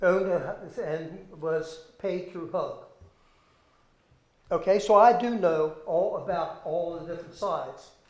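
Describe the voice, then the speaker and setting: A man's high voice with an American accent, fairly slow and fairly even in intonation, with long, frequent pauses, big swings in loudness and audible room echo. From Maryland, Taneytown. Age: 70s. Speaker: retired educator, public commenter. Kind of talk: public testimony at a hearing. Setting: public zoning board hearing.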